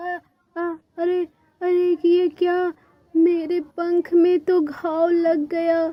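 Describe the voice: In a cartoonish character voice, a woman speaks at an extremely high pitch, very slowly and in a monotone, flat way.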